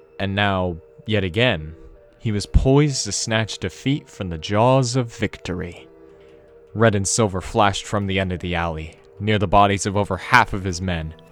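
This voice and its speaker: Music plays in the background as a man talks at a moderate pace. His pitch is fairly low, with ordinary variation. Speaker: narrator. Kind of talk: audiobook narration.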